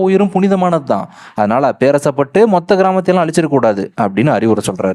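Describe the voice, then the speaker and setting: His tone is dark and mellow. This man's pitch swings very widely. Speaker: movie explainer voice-over narrator. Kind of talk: movie plot explanation narration. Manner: casual, lively storytelling.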